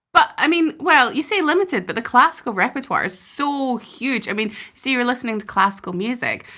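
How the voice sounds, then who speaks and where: Speaking at a fairly quick pace with hardly any pauses, a woman projects a raised, high-pitched voice with a bright, sharp tone and very wide pitch swings. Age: 30s. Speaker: podcast host, harpist. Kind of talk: podcast interview.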